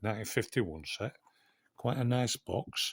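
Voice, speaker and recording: A somewhat breathy man's voice at medium pitch, with a dry, close sound and no echo. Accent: Yorkshire. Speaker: coin collector YouTuber. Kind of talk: unboxing video. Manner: whispering at times.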